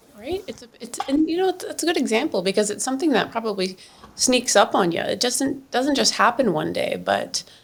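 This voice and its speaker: Speaking at a fairly quick pace with a Canadian accent, a woman with a high pitch swings very widely in pitch over noticeable background noise. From Canada (Brampton, Ontario). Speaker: podcast host. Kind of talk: podcast interview.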